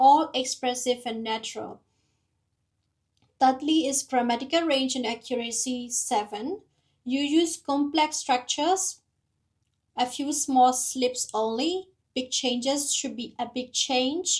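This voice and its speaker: A woman's high voice at a fairly slow pace, with long, frequent pauses, a non-native accent, and ordinary pitch variation. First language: not English. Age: 30s. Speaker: nurse preparing for English exam, vlogger. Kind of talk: study vlog reading out AI feedback.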